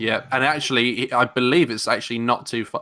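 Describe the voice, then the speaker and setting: A man with a London accent speaks at a fairly quick pace in a medium pitch with a bright, sharp tone, on a very clean recording with a silent background. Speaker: podcast host. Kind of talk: casual chat.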